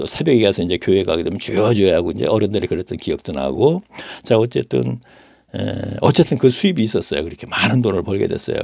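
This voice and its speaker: Vocal fry runs through this man's fairly low voice. He talks very fast, with very wide pitch swings. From South Korea, Daejeon. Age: 70s. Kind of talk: testimony. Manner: halting, with fillers.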